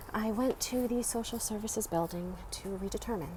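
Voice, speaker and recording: A quiet woman with an American accent speaks at a fairly high pitch with fairly even intonation, over noticeable background noise. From Baltimore, US. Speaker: vlogger. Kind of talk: live stream monologue. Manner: quiet, hushed.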